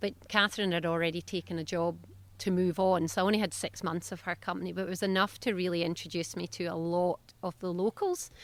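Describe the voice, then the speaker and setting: At a fairly quick pace, a woman with a Scottish accent speaks in a medium pitch on a very clean recording with a silent background. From south-west Scotland. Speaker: veterinarian and business owner. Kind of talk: interview. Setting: podcast. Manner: animated.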